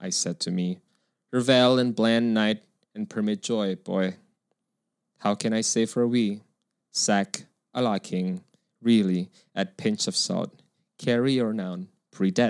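A man talks at a fairly low pitch and fairly slow pace, with fairly even intonation. Long, frequent pauses stand out in the dry, close sound with no echo. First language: not English. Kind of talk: casual chat.

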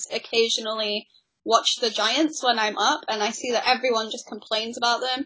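A woman with a normal speaking voice and fairly high pitch speaks at a moderate pace with fairly even intonation. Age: 20s. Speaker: podcast co-host, sports journalist. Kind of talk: casual chat. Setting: Skype call.

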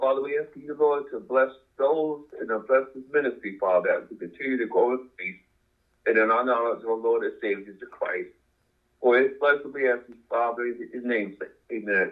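Talking at a fairly quick pace, a man with an unremarkable speaking voice holds a medium pitch with ordinary pitch variation and big swings in loudness. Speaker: congregation member leading prayer. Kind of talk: prayer.

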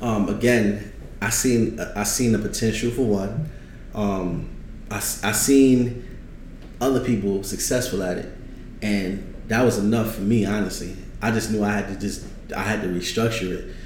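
A man with a New York accent at a moderate pace, fairly even intonation, noticeable background noise and audible room echo. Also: fairly low pitch for a man. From New York, Brooklyn. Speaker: trucking business owner and consultant. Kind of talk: casual interview.

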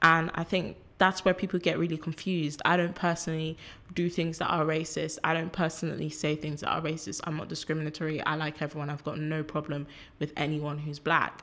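A woman with a London accent talks at a fairly quick pace, her pitch very deep and low. Her intonation stays monotone and flat, and the recording is very clean with a silent background. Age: 20s. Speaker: activist and filmmaker. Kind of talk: casual chat.

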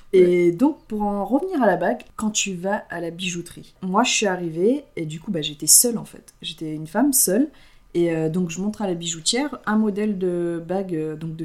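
A woman with an ordinary speaking voice talks at a fairly low pitch with ordinary pitch variation. Her loudness swings widely, and she hardly pauses. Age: 20s. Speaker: podcast co-host. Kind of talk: casual chat.

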